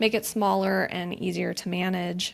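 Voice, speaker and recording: On a very clean recording with a silent background, a woman talks at a medium pitch. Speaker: finance habit coach. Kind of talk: interview. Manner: formal, corporate-sounding.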